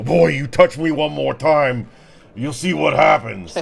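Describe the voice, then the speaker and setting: A man uses a gruff, put-on character voice. His pitch is medium and his pace fairly slow. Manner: threatening, warning.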